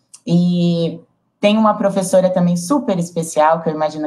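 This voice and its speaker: A somewhat breathy voice in a São Paulo accent at a moderate pace. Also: woman. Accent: São Paulo Brazilian Portuguese. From São Paulo, Brazil. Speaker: project facilitator. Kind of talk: panel discussion.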